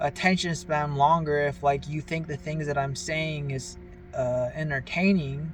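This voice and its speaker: Fairly even intonation and a fairly slow pace over music in the background. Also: man. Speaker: vlogger. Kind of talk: casual monologue. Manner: halting, stumbling over words.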